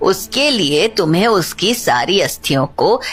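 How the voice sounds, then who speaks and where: In a cartoonish character voice, a female-sounding speaker uses a medium pitch while faint music plays in the background. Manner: authoritative, matter-of-fact.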